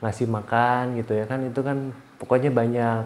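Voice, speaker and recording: The delivery is fairly slow. The intonation stays monotone and flat. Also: man. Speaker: co-host, manager of a YouTube channel. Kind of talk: casual chat.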